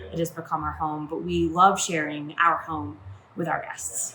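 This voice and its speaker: A woman's voice with an American accent at a moderate pace. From Maine, USA. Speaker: yacht chef and first mate. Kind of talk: casual talk to camera.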